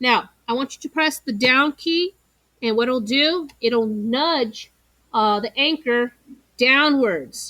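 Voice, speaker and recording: A woman with a high pitch and a bright, sharp tone speaks very slowly in a raised, projected voice, with ordinary pitch variation and a dry, close sound that has no echo. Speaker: teacher. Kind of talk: tutorial.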